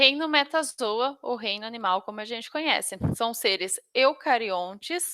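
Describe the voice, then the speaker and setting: A woman speaks in a raised, projected voice at a fairly slow pace. Her tone is bright and sharp, with a dry, close sound and no echo. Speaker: biology teacher. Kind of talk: online lecture. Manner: halting.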